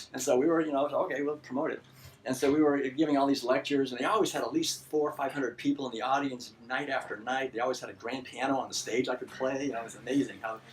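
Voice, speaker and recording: A man talks at a very fast pace with hardly any pauses, his pitch fairly high. His intonation stays fairly even over noticeable background noise. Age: 60s. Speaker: vegan author and lecturer. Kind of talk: lecture. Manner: halting.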